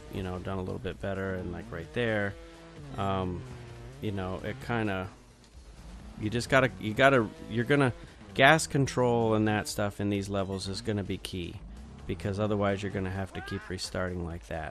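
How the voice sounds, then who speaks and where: A man talks at a moderate pace in a fairly low, tired-sounding voice. He leaves long, frequent pauses while music plays in the background. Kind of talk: casual video game review commentary. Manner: monotone, tired.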